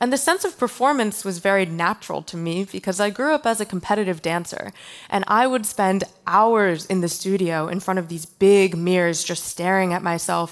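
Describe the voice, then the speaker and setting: With an American accent, a woman of medium pitch speaks at a moderate pace in a plain, everyday voice. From Pennsylvania, small town. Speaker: artist and software developer. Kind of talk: conference talk. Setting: stage with audience.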